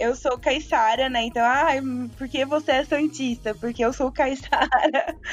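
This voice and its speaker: A woman's high voice at a fairly slow pace, with fairly even intonation and hardly any pauses. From Santos coast, São Paulo state, Brazil. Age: 20s. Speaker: football content creator. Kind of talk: casual chat.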